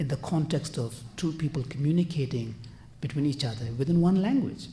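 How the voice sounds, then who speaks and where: A man with a non-native accent speaks in a dark, mellow tone. There is audible room echo. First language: not English. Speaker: conference panelist, translator. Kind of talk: conference panel talk. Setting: conference panel. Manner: hesitant, frequent fillers.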